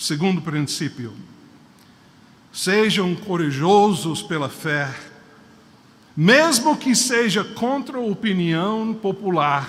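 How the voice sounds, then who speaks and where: A man speaks at a very slow pace with a high pitch for a man, very wide pitch swings, and long, frequent pauses, with audible room echo in the space. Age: 60s. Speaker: preacher. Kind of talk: sermon. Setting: church.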